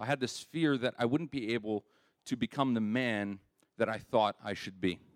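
A man with a plain, everyday voice talks at a medium pitch with ordinary pitch variation, on a very clean recording with a silent background and a dry, close sound with no echo. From Canada, Winnipeg. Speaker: church member sharing testimony. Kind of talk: testimony.

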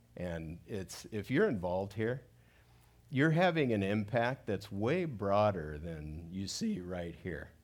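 Amid audible room echo, a man speaks at a very slow pace with lively intonation. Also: fairly low pitch for a man. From Southern California (South Gate, Los Angeles area). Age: 60s. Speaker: pastor. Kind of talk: sermon. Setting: church stage with audience.

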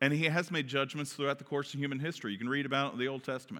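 A man with a Kentucky accent, bright and sharp in tone and fairly high in pitch, on a very clean recording with a silent background. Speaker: pastor. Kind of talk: sermon. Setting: church.

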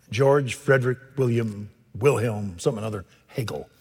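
Lively in intonation, a man speaks at medium pitch in a Texan accent. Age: 70s. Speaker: pastor. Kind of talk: sermon. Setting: church. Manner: animated.

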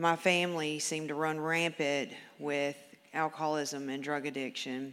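A woman's very deep, low voice with a Southern US accent, monotone, flat intonation and long, frequent pauses over noticeable background noise. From Memphis, Tennessee. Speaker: recovery program graduate. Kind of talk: testimony. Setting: church. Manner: reading aloud.

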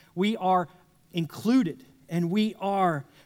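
This man's voice is high in pitch. It rises and falls in an ordinary way. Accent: Texan. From South Texas. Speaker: pastor. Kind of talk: sermon. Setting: church with congregation.

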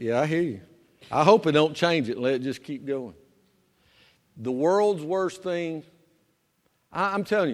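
On a very clean recording with a silent background, a man speaks with a Southern US accent. His intonation is lively. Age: 50s. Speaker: pastor. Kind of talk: sermon. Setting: church.

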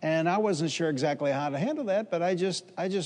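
Ordinary pitch variation and a fairly quick pace in a man's a normal speaking voice. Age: 60s. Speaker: pastor. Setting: church service before a live congregation.

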